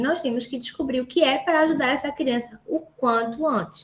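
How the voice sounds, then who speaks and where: A woman's high voice comes through in an animated tone. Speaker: speech therapist. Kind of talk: lecture.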